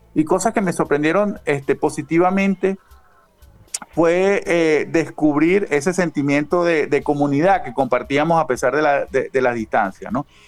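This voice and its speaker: With noticeable noise behind him, a fairly high-voiced man keeps a moderate speed and ordinary pitch movement. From Venezuela. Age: 40s. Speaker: author and punk zine editor. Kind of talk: interview.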